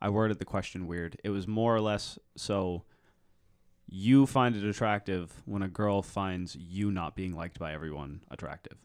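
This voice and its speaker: At a moderate pace, a man talks with ordinary pitch variation on a very clean recording with a silent background. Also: fairly low pitch for a man. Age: 20s. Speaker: podcast guest. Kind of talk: casual chat. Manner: low energy.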